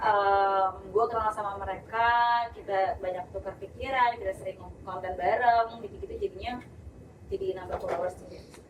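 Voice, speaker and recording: The delivery moves at a moderate pace with big swings in loudness. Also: woman. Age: 20s. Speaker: influencer. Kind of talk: casual chat.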